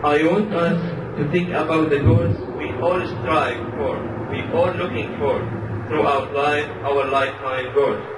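The speech moves at a fairly slow pace with ordinary pitch variation and long, frequent pauses. Loud background noise runs underneath. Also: man. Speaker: speaker. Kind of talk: sermon. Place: hall.

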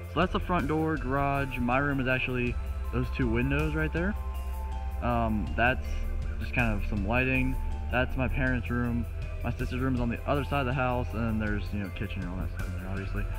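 Clear music plays in the background while a man speaks at a very deep, low pitch. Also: fairly quick pace. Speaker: home tour vlogger. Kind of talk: casual vlog chat. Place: garden. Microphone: phone near.

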